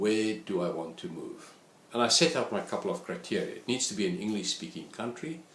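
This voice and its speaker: A man with a South African accent talks at a fairly low pitch with very wide pitch swings. Audible room echo surrounds his voice. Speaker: statistics lecturer. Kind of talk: course introduction talk.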